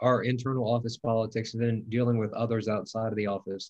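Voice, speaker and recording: With an American accent and an ordinary speaking voice, a man talks at medium pitch and a fairly quick pace. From US South, Mississippi (Biloxi). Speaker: congressional chief of staff. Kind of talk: interview conversation.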